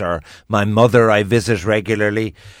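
A man's fairly low voice with an Irish accent. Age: 50s. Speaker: radio host. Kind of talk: radio phone-in discussion.

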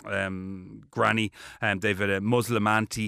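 A bright, sharp tone comes with a Dublin accent. The sound is dry and close with no echo, on a very clean recording with a silent background. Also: man. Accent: Dublin Irish. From Ireland (Dublin). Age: 40s. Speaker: TV presenter. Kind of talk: interview. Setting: studio. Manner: animated.

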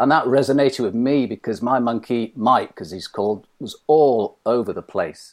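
In a very clean recording with a silent background, a man with a British accent speaks at a moderate pace and medium pitch, with ordinary pitch variation, hardly any pauses and big swings in loudness. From Britain. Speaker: mind coach. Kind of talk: interview.

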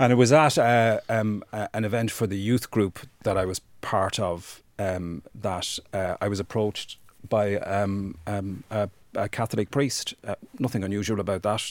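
In an Irish accent, a man speaks at a moderate pace and fairly low pitch. His intonation is fairly even, and the recording is very clean with a silent background. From Ireland, rural County Wexford. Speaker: human rights campaigner. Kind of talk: interview testimony.

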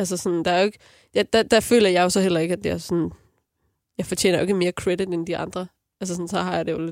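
Between long, frequent pauses, a woman talks at a very fast pace. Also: fairly low pitch for a woman, fairly even intonation, very clean recording, silent background. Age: 30s. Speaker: singer. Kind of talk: casual chat.

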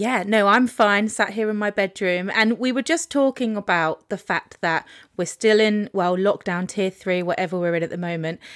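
In a very clean recording with a silent background and a dry, close sound with no echo, a woman speaks in a normal speaking voice. Her pitch is medium with ordinary variation, and she keeps a moderate pace with hardly any pauses. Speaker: podcast host. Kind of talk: interview.

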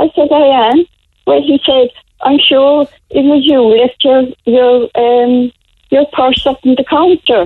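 With a Cork accent, a woman speaks fairly slowly at a high pitch, with very even loudness and ordinary pitch variation. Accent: Cork Irish. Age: 80s+. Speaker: elderly caller. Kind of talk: phone-in chat.

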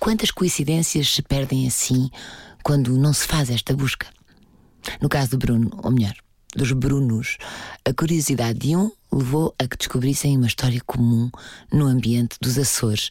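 With a European Portuguese accent, a woman speaks at a very deep, low pitch, keeping her loudness very even and leaving long, frequent pauses. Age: 40s. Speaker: podcast host and narrator. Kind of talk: scripted narration.

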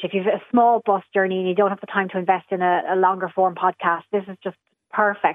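A woman speaks with an Irish accent at a fairly quick pace. Her pitch is medium. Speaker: podcast producer. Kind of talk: radio panel discussion.

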